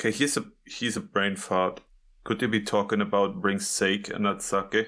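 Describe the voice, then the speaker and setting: A man with a non-native accent speaks at a moderate pace, fairly low in pitch, with a bright, sharp tone and very even loudness. His intonation is fairly even, and the recording is very clean with a silent background. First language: not English. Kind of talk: casual chat.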